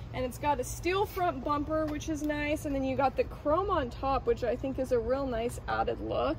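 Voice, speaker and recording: A woman at a moderate pace with hardly any pauses, over light background noise. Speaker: presenter. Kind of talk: product walkaround commentary. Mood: enthusiastic, upbeat. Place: street.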